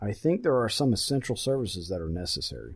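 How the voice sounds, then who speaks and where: A man, somewhat breathy, at a fairly quick pace with very wide pitch swings, in a very clean recording with a silent background. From South Carolina. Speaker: podcast host, firefighter, army veteran. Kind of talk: casual chat.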